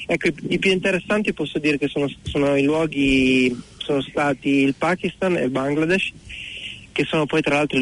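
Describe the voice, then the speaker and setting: An unremarkable speaking voice from a man, fairly high in pitch with ordinary pitch variation. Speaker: motorcycle traveller. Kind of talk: phone interview.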